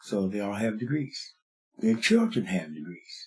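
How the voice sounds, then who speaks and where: Somewhat breathy male voice at a moderate pace. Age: 80s+. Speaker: kung fu master. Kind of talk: interview answer.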